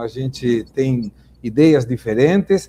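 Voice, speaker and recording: This man speaks with a Spanish accent. His tone is dark and mellow. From Argentina, Buenos Aires. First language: Spanish (speaking Portuguese). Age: 60s. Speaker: business owner and political commentator. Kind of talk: debate opening statement. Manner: formal.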